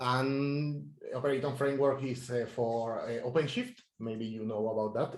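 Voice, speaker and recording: A man speaks at a moderate pace and medium pitch in a somewhat breathy voice. Audible room echo surrounds him. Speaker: software engineer. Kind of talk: technical talk. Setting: meetup talk.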